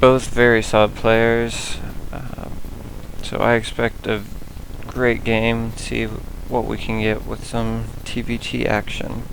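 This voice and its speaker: A man speaking very slowly over noticeable background noise. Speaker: esports game commentator. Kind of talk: esports shoutcast commentary. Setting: voiceover commentary over game footage.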